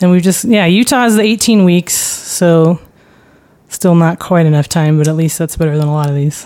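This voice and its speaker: A plain, everyday voice from a woman, fairly low in pitch, with ordinary pitch variation, very even loudness and a moderate pace. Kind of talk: casual discussion. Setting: studio.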